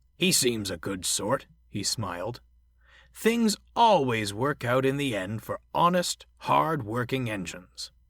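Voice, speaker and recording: A man uses a put-on character voice at medium pitch and a fairly slow pace, on a very clean recording with a silent background. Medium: read story.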